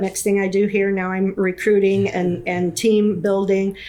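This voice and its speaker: A woman talks at a moderate pace with a medium pitch. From Kansas. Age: 60s. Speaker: real estate agent. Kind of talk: interview. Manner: halting.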